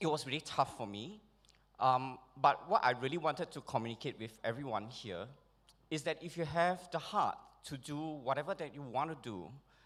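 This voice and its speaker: On a very clean recording with a silent background, a man with a fairly high pitch for a man talks at a moderate pace, using lively intonation, big swings in loudness, and long, frequent pauses. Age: 40s. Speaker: award recipient, holistic skincare practitioner. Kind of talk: acceptance speech. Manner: hesitant, many fillers.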